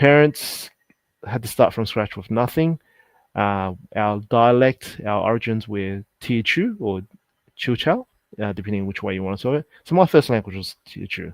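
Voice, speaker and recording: A man with an Australian accent speaks at a fairly low pitch. The recording is very clean with a silent background, dry and close with no echo. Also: ordinary pitch variation, moderate pace. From Sydney, Australia. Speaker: insolvency accountant. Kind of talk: interview.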